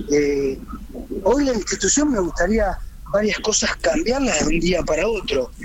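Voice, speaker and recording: With noticeable background noise behind him, a man speaks fairly slowly at a high pitch, his loudness very even while his pitch swings very wide. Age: 30s. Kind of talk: radio interview.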